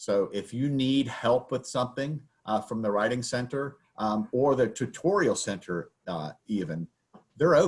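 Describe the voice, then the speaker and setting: Delivered at a moderate pace in a Southern US accent, the speech has lively intonation on a very clean recording with a silent background. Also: man. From US South. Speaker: baking instructor. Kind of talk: lecture. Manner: casual, with many fillers.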